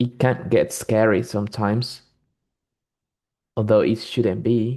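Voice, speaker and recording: Against a quiet background, a man with a non-native accent speaks in a dark, mellow tone at a fairly low pitch with fairly even intonation. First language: not English. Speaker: English learner. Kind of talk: casual chat. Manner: halting.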